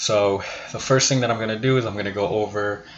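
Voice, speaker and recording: There is noticeable background noise behind this man. He speaks at a fairly low pitch with ordinary pitch variation. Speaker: stock trading youtuber. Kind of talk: tutorial. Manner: hesitant, many fillers.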